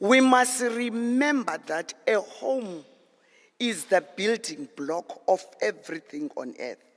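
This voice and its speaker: Very slowly, a man speaks in a high voice. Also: lively intonation. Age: 70s. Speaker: elder speaker at a youth panel. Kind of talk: closing address.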